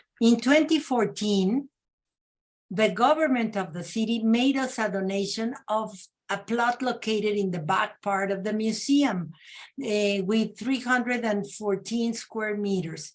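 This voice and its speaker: Somewhat breathy and with a Mexican accent, this voice moves at a fairly slow pace with ordinary pitch variation. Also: woman. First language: Spanish. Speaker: panelist presenting a women's museum. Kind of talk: panel presentation. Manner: halting, many fillers.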